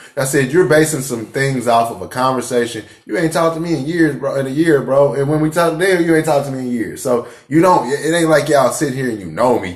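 A man speaks very fast in a fairly high pitch, varying it in an ordinary way, while noticeable background noise runs underneath. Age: 40s. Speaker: cannabis podcast co-host. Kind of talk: casual chat.

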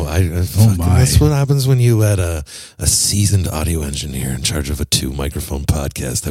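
Over music in the background, a man with a very deep, low pitch talks at a moderate pace with very wide pitch swings. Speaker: podcast host. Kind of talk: informal, profane. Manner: casual, heavy swearing.

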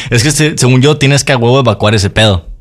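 A man is speaking. His pace is very fast. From Mexico. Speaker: podcast co-host. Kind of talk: casual chat.

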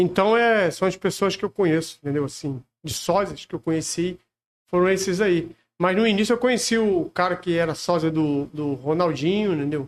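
High in pitch, a man speaks at a moderate pace with ordinary pitch variation. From Rio de Janeiro, Brazil. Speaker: celebrity lookalike. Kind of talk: casual chat.

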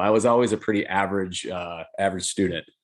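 Against a quiet background, a man speaks at a moderate pace at a fairly low pitch with ordinary pitch variation, a normal speaking voice. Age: 40s. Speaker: jiu-jitsu instructor and retired police officer. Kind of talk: casual interview.

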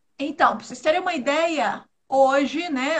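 The speaker talks at a moderate pace. The pitch rises and falls in an ordinary way. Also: woman. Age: 40s. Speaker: travel agency co-host. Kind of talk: casual live stream chat. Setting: live video stream.

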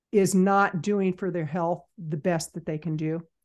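A woman's plain, everyday voice, fairly low in pitch and fairly slow, with ordinary pitch variation against a quiet background. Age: 60s. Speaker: business consultant and podcaster. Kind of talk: casual interview chat.

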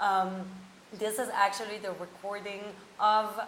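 A woman at a medium pitch talks at a fairly slow pace, with noticeable background noise behind her. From France. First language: French and German. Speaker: career coach, podcast host. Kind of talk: podcast intro.

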